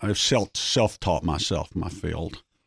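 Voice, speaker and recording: A man with a Southern accent talks at a moderate pace. The recording is very clean, with a silent background and a dry, close sound with no echo. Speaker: investment strategist. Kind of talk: interview. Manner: halting.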